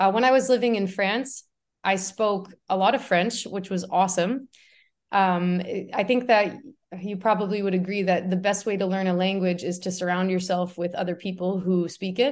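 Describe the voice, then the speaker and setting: A woman with a Canadian accent speaks in an ordinary speaking voice at medium pitch. Her pace is moderate and her intonation fairly even. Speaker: artist. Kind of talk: casual interview. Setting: video call.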